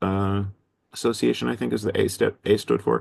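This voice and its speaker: A man talks at a fairly quick pace, his very deep, low pitch carrying vocal fry. The background is quiet. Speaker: teacher and education organizer. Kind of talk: webinar presentation. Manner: fast; halting, many fillers.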